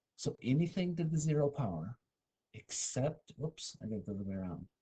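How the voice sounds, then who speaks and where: A man whispers at a fairly quick pace, somewhat breathy, in a dry, close sound with no echo. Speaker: math teacher. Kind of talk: lecture. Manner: whispering briefly.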